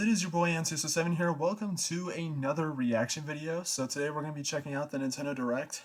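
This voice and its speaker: Speech at a very fast pace with hardly any pauses runs over noticeable background noise. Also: man, fairly high pitch for a man, ordinary pitch variation. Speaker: gaming reaction youtuber. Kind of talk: live reaction commentary. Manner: quiet.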